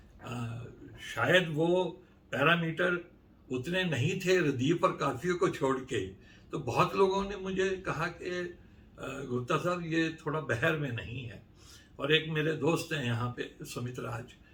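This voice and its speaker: There is audible room echo around a man whose fairly high pitch shows ordinary variation. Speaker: poet. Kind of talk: interview. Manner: halting.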